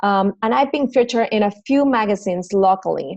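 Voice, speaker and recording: Speaking with a Mexican accent, a woman has a medium pitch with ordinary variation, recorded dry and close with no echo against a quiet background. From Mexico City. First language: Spanish. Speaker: fitness trainer and business owner. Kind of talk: recorded presentation.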